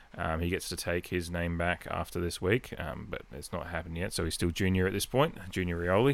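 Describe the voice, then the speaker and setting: Here a man speaks with an Adelaide accent. His pitch is very deep and low, and his pace is moderate. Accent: Australian, Adelaide. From Adelaide, South Australia. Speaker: podcast host and Port Adelaide fan. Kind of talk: casual solo podcast chat. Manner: rambling, conversational, filler-heavy.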